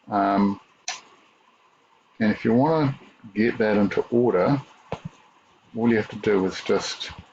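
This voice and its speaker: A man speaks at a fairly slow pace, with a medium pitch and long, frequent pauses. Noticeable background noise runs under his voice. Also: ordinary pitch variation. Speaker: teacher. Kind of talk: tutorial. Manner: halting.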